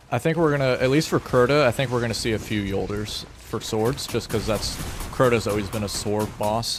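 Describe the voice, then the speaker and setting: Over music in the background, the speech runs at a fairly quick pace with ordinary pitch variation. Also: man. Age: 20s. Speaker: gaming streamer. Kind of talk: casual chat. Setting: live stream.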